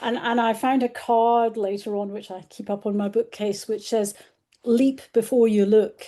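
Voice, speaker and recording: A woman with a British accent, fairly high-pitched yet dark and mellow in tone, flat and monotone, at a moderate pace over a quiet background. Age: 60s. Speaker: journalist and author. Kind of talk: casual interview.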